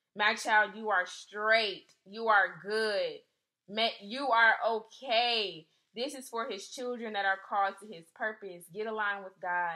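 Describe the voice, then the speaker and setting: A woman with an unremarkable speaking voice, fairly high in pitch, fairly even in intonation, with big swings in loudness, at a fairly slow pace against a quiet background. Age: 20s. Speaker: faith podcast host. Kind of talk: devotional talk. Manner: casual, filler-heavy. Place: home room. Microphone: phone near.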